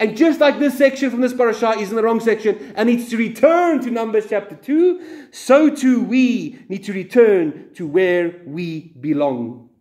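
At an extremely high pitch, a man speaks at a moderate pace with very wide pitch swings and hardly any pauses against a quiet background. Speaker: religious teacher leading service. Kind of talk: sermon / Torah teaching. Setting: congregation in a synagogue. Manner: self-deprecating, humorous. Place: church. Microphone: phone near.

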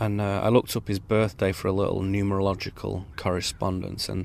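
This man has an ordinary speaking voice, fairly low in pitch, talking at a fairly quick pace with fairly even intonation. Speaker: spoken word essayist. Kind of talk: improvised spoken word essay. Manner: reflective, musing.

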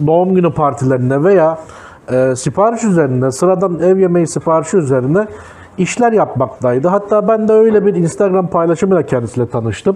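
At a fairly quick pace, a man speaks in a high pitch. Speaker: food vlogger. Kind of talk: casual vlog chat. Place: cafe. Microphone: lapel.

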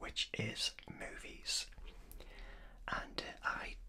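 A man is whispering. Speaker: channel host. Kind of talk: casual vlog chat. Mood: warm, enthusiastic. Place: home room.

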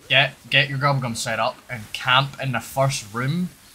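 A Scottish accent over noticeable background noise. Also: man. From Scotland, Edinburgh. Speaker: video game streamer. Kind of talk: live-stream chat with gameplay. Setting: home room during live stream. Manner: casual, chatty.

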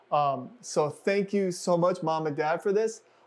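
A high-pitched male voice at a fairly slow pace. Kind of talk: tutorial. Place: home room. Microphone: lapel.

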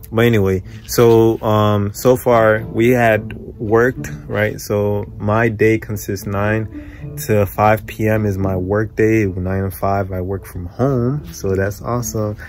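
Over faint background music, a man speaks at a very slow pace in a dry sound with no echo. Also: fairly low pitch for a man, ordinary pitch variation. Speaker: vlogger. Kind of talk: casual vlog chat. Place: home room. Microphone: phone near.

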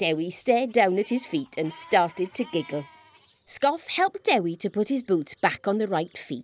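Lively intonation in an unforced reading voice

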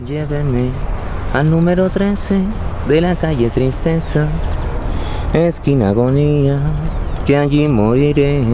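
Speaking at a very slow pace with long, frequent pauses, a man with a fairly high voice is heard over noticeable background noise. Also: ordinary pitch variation, dry sound with no echo. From Nariño, Colombia. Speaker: actor. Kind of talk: dramatic spoken monologue of song lyrics. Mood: melancholic, theatrical. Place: open country.

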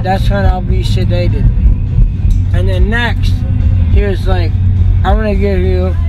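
A man speaks at a fairly slow pace with loud music behind him. The sound is dry, with no echo. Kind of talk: casual vlog chat. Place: car. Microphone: phone near.

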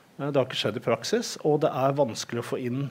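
A man talks in a plain, everyday voice. His pitch is medium and his intonation fairly even. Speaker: HR senior adviser, panelist; panelist. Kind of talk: panel debate. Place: hall. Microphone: headset.

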